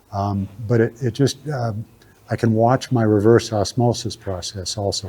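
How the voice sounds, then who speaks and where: A man's fairly low voice with fairly even intonation, amid noticeable background noise. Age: 70s. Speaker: general contractor giving a talk on maple syrup. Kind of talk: talk Q&A with audience. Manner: halting, many fillers.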